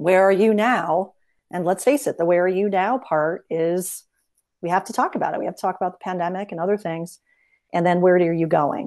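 At a fairly quick pace, a woman speaks in a normal speaking voice at a medium pitch, with ordinary pitch variation and a quiet background. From upstate New York, Albany suburbs. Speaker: business consultant. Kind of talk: interview.

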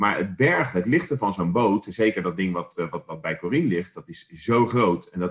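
Using a plain, everyday voice, a man talks at a moderate pace and fairly low pitch with lively intonation and hardly any pauses. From The Hague, Netherlands. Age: 50s. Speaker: podcast co-host. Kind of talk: casual chat.

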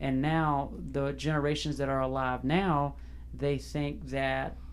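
Slowish and unhurried, a man speaks with a Southern US accent at a fairly slow pace. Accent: US South. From South Carolina, Fairfield. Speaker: podcast host. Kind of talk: interview.

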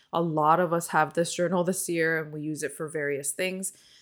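A woman with a Californian accent on a very clean recording with a silent background. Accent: general American, Californian. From Seoul, South Korea, moved to California at 11. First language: Korean. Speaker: podcast host, stationery streamer. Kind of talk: casual chat.

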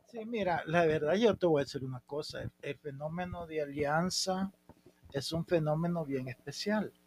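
With a normal speaking voice, a man at fairly high pitch talks at a moderate pace with ordinary pitch variation, the sound dry and close with no echo. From El Salvador, San Miguel. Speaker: former football club president. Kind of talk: casual interview.

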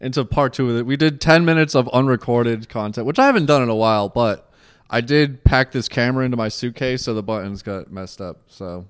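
A man's medium-pitched voice at a very fast pace, ordinary pitch variation and hardly any pauses. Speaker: podcast host, comedian. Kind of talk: casual chat. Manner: mumbles.

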